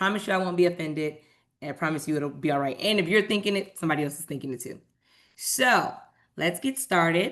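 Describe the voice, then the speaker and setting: The speech races along at a very fast pace with lively intonation. The background is quiet. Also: woman, fairly low pitch for a woman. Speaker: nonprofit program staff presenter. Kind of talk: webinar presentation. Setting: video call.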